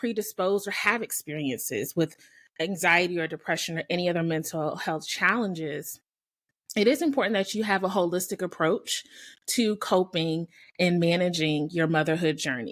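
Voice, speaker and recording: Her voice is fairly low in pitch for a woman, an unremarkable speaking voice with lively intonation at a moderate pace. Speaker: podcast host. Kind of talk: podcast monologue.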